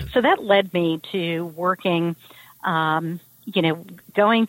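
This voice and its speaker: Speaking with a New York accent, a woman uses a fairly low pitch and fairly even intonation at a fairly slow pace. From New York City, Brooklyn. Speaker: corporate diversity executive. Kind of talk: interview.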